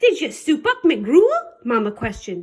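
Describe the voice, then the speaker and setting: Putting on a character voice, a woman growls at a high pitch. Her pitch swings very wide. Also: moderate pace. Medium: read story. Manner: growling, grumbling.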